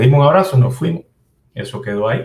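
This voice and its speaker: Somewhat breathy, a man speaks with a Cuban accent and lively intonation. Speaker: computer programmer and activist. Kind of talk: interview. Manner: halting.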